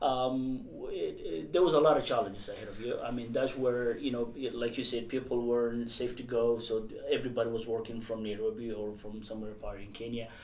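A man speaks at a fairly quick pace with a medium pitch. His intonation stays fairly even over noticeable background noise. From Somalia. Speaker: podcast host. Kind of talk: interview.

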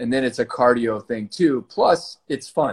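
Someone with an American accent speaks at a moderate pace in an ordinary speaking voice, with ordinary pitch variation. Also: man. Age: 40s. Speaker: former pro volleyball player and fitness startup founder. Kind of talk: interview.

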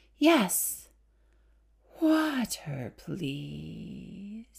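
A soft-spoken, put-on character voice. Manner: slow, soft.

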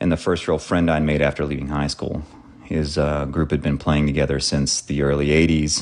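A man speaks with a very deep, low pitch. His intonation is monotone and flat. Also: moderate pace. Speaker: listener contributor. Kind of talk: recorded listener entry, storytelling. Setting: recorded message sent in.

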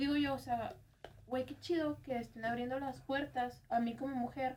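A woman talks at a high pitch and a fairly quick pace. Her intonation stays fairly even. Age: 20s. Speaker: podcast production crew member. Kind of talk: casual chat.

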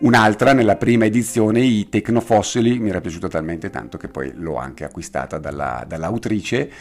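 A man with a fairly low pitch talks at a fairly quick pace. His intonation is lively, with vocal fry. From Bergamo, northern Italy. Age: 50s. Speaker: veterinarian and association president. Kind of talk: interview.

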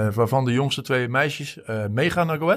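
It is a plain, everyday voice with ordinary pitch variation. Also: man. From Deventer, eastern Netherlands. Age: 40s. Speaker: football supporter. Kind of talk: casual interview. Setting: walking under the stadium stand.

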